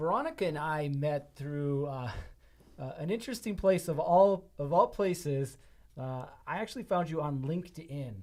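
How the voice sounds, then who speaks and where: The recording is very clean with a silent background, and the pitch varies in an ordinary way. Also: man, fairly high pitch for a man, moderate pace. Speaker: podcast host. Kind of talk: podcast interview. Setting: studio. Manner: loud.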